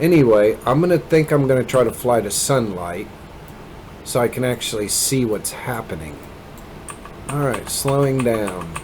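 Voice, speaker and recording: Music plays in the background as a man speaks at a moderate pace with an American accent. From Kansas, US Midwest, rural. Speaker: gaming video creator. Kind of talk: gameplay commentary. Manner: rambling, casual with many fillers.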